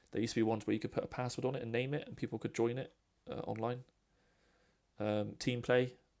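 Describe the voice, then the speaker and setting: A very fast man's voice in a British accent, with medium pitch, fairly even intonation, and vocal fry. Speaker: gaming podcaster. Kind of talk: opinion monologue over gameplay. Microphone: poor sound quality, first recording.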